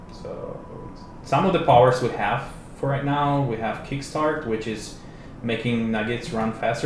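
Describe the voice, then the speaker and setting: Heard with audible room echo and noticeable background noise, a man speaks with a strong non-native accent and ordinary pitch variation. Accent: strong foreign. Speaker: game developer. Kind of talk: livestream game demo. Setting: live stream. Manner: casual.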